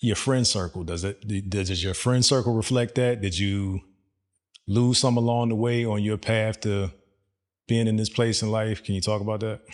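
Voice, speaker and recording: Here is a man with an ordinary speaking voice, pitched fairly low. He keeps a moderate pace and fairly even intonation. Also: quiet background. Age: 40s. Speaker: podcast host. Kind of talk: casual interview.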